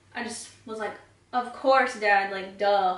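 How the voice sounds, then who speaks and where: Amid noticeable background noise and audible room echo, a woman speaks at medium pitch at a fairly slow pace. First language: Spanish. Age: 20s. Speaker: beauty vlogger. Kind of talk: casual chat while doing makeup tutorial.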